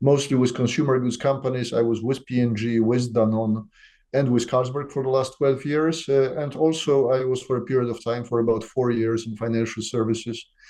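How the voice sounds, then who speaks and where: Talking fairly quickly with a Polish accent, a man holds a monotone, flat delivery at medium pitch against a quiet background. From Poland. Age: 60s. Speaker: company CEO. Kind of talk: business interview. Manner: hesitant, many fillers.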